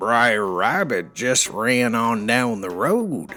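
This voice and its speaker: A man in a put-on character voice, medium in pitch, at a very slow pace. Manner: disguised, sly.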